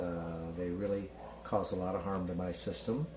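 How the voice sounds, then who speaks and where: A man talks at a moderate pace in a somewhat breathy voice. Audible room echo surrounds him. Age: 60s. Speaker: patient. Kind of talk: testimony.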